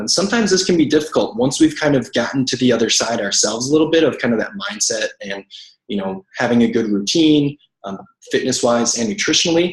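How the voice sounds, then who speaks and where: The delivery is very fast, with lively intonation. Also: man. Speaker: network marketing coach. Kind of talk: team training call.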